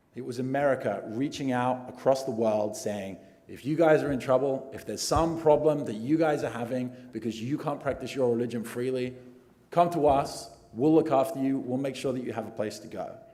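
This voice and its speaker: Speaking fairly quickly with an English accent, a man at a medium pitch shows ordinary pitch variation and big swings in loudness, with room echo audible. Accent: English accent noticeable. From England. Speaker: immigration attorney. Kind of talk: award acceptance speech.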